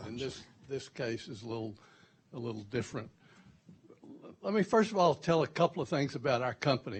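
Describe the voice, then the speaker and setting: A somewhat breathy man's voice with a Texan accent. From Texas. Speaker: company CEO, panelist. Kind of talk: panel talk. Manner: halting, many repeated words.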